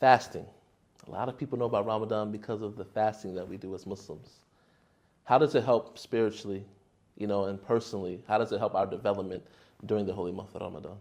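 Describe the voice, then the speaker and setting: With an American accent and a fairly low pitch, a man talks at a very fast pace, broken by long, frequent pauses, his loudness swinging widely and his intonation fairly even against a quiet background. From United States. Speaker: podcast host. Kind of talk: podcast interview.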